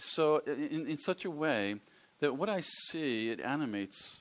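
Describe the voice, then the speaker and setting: The speaker talks with an American accent. The intonation is lively. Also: man. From US Northeast, rural Pennsylvania. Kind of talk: workshop lecture.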